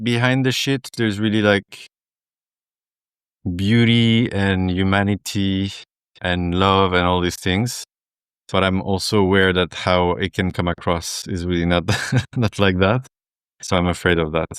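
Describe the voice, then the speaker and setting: A man with a French accent speaks at a fairly slow pace, with a fairly low pitch, ordinary pitch variation and long, frequent pauses. The sound is dry and close with no echo, on a very clean recording with a silent background. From southern France. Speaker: men's group facilitator. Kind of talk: casual chat.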